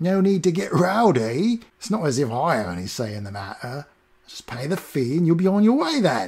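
A man puts on a squeaky character voice with a fairly high pitch and very wide pitch swings. He talks at a moderate pace, with big swings in loudness. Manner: prim, fussy.

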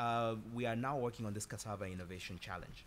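A man speaks with a bright, sharp tone. Light background noise sits behind him. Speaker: consulting firm executive. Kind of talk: panel discussion. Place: hall.

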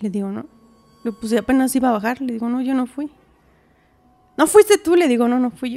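Her voice is high-pitched with lively intonation. The woman moves at a fairly quick pace. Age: 30s. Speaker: massage therapist and homemaker; podcast guest. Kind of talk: testimony. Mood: earnest, at times distressed. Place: studio. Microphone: studio mic.

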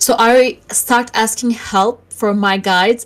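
A woman with a Turkish accent and fairly even intonation. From Turkey. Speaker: online spiritual class leader. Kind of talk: tutorial. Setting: online voice call.

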